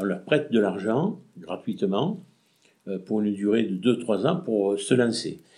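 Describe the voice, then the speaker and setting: The voice moves at a fairly slow pace with very wide pitch swings while music plays in the background. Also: man. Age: 60s. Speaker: retired shopkeeper, former traders' association president. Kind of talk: interview. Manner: halting.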